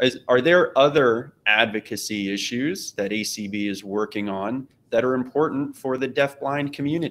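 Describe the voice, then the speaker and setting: With an ordinary speaking voice, a man talks at medium pitch and a moderate pace, using ordinary pitch variation and hardly any pauses. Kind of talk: panel discussion. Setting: video call.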